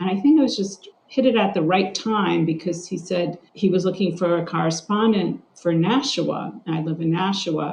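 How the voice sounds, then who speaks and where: A woman's normal speaking voice at medium pitch, at a moderate pace with ordinary pitch variation and hardly any pauses. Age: 60s. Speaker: journalist and journalism instructor. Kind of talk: interview.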